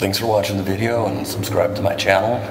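Against noticeable background noise, a man talks in a monotone, flat manner. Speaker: urban exploring vlogger. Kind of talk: casual vlog chat. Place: tunnel cave. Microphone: phone near.

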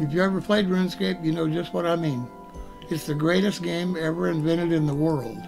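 Over clear background music, a man with a fairly high pitch talks at a fairly quick pace with ordinary pitch variation. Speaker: gaming livestreamer. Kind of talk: casual talk to camera. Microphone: webcam.

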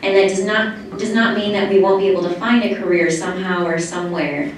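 Through strong room echo and light background noise, a woman talks at a fairly quick pace with ordinary pitch variation. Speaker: student speaking at public comment session. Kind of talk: public comment speech. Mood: earnest, slightly nervous. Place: hall.

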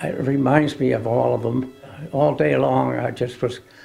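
A man speaking at a fairly slow pace, with faint music in the background. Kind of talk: interview answer. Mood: emotional, reflective remembering. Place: home room.

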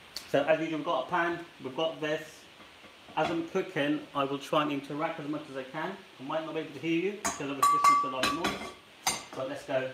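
A man rattles off words very fast while loud noise fills the background. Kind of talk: tutorial. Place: kitchen. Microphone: camera far.

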